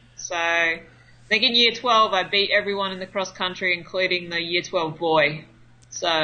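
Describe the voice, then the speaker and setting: With an Australian accent, a woman speaks at a moderate pace in a medium pitch with fairly even intonation. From North Queensland, Australia. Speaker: adventure racer. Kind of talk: casual interview. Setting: phone call.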